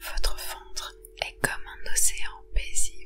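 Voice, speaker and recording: Very slow speech over background music. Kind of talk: guided sleep meditation. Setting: ASMR relaxation recording. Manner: whispered, soft, slow.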